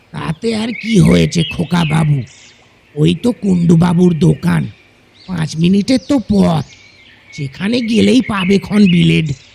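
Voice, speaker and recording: A man's put-on character voice, high-pitched and fairly slow, with lively intonation. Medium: audio drama. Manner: homely, indulgent.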